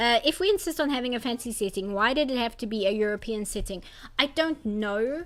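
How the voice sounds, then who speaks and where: The speech has lively intonation, with music playing in the background. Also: woman. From South Africa. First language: Afrikaans. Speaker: artist streamer. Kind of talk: casual chat. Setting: live stream. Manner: halting, many fillers and restarts.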